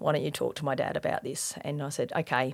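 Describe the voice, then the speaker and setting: Someone with an Australian accent talks at a very fast pace. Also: woman. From Australia, Adelaide northern suburbs (Elizabeth, Salisbury). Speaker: police officer sharing faith testimony. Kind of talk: testimony. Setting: podcast interview. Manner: hesitant, many fillers.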